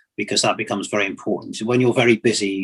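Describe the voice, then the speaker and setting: The speaker has a British accent. The intonation stays fairly even. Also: man. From England and Nigeria (London-born, Nigerian father). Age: 60s. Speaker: retired engineering and transport executive. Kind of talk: interview on leadership and life story.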